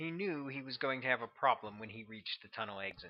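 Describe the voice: With lively intonation, the recording is plain reading aloud.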